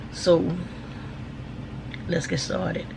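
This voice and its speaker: A woman talks with an American accent. Noticeable background noise and audible room echo come through. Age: 50s. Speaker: vlogger. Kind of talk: casual chat. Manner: casual, filler-heavy.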